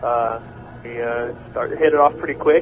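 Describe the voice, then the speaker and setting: A man talks at a fairly quick pace with an American accent. Background noise is noticeable. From Oklahoma. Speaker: rock singer. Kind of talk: radio interview. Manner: halting.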